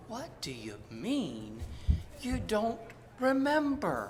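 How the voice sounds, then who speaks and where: Someone uses a put-on character voice at a very slow pace against clear background noise. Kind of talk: comic stage acting. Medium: stage play.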